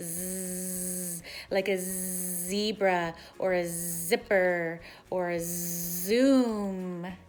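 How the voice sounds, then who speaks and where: A female-sounding voice puts on a playful character voice at medium pitch and a very slow pace. The recording is very clean, with a silent background. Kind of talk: children's teaching. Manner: playful monster voice for teaching the letter.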